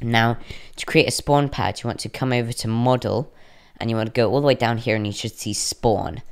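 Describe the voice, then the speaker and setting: A man speaks at a fairly quick pace in a plain, everyday voice, his medium pitch carried by fairly even intonation. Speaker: coding tutorial youtuber. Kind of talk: tutorial. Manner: casual, with filler words.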